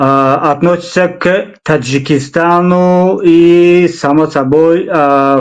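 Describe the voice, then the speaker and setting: A man with a Tajikistan accent. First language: Tajik (speaking Russian). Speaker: interview show host. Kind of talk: interview. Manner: halting, many fillers.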